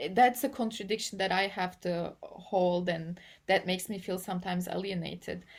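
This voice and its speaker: On a very clean recording with a silent background, a woman with a Turkish accent speaks at a moderate pace and medium pitch, her intonation fairly even. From Turkey. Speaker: AI policy and ethics researcher. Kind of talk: interview. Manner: halting, with many repetitions and fillers.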